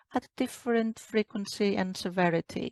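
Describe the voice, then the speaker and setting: In a Greek accent, this voice moves at a moderate pace with ordinary pitch variation and a dry, close sound with no echo. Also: woman. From Greece. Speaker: doctor, menopause specialist. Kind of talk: interview. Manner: hesitant, many fillers.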